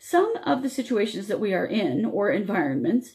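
A woman's fairly high voice with vocal fry at a moderate pace. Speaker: radio host. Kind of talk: live radio talk show. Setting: online radio show with video. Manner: friendly, upbeat.

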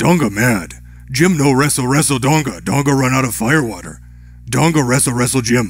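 Using a put-on character voice, a man talks at a fairly quick pace with a medium pitch over light background noise. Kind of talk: broken, primitive speech. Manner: dopey, mock.

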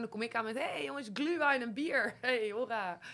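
A woman's bright, sharp voice with ordinary pitch variation against a quiet background. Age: 30s. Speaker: podcast co-host. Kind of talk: casual chat. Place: studio. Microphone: studio mic.

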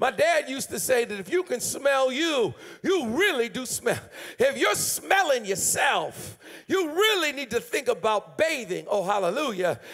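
The speech moves at a moderate pace. Its pitch swings very widely. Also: man, extremely high pitch for a man. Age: 50s. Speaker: pastor. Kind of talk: sermon. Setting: church. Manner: animated. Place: church. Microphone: handheld.

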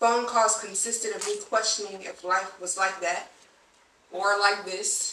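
A woman with an American accent, fairly slow, monotone and flat, with big swings in loudness, audible room echo and light background noise. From Southern California, Long Beach; Southern California. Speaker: poet. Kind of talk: poetry performance. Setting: stage with audience.

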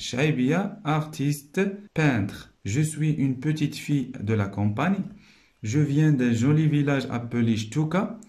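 A man's somewhat breathy voice, very slow and very even in loudness, with lively intonation over a quiet background. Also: fairly high pitch for a man. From Morocco. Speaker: primary school teacher. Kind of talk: tutorial. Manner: slow, explanatory. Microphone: phone near.

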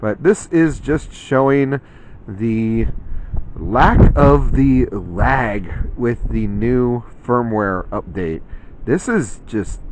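A man's lively intonation at a very slow pace, dry with no echo, over light background noise. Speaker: gear reviewer. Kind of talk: product review commentary. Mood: impressed, enthusiastic. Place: open country.

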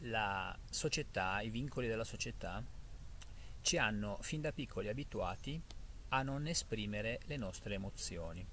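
Over light background noise, a man talks at a fairly slow pace. The sound is dry, with no echo. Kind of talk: casual reflective vlog talk. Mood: calm, thoughtful. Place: forest. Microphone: phone near.

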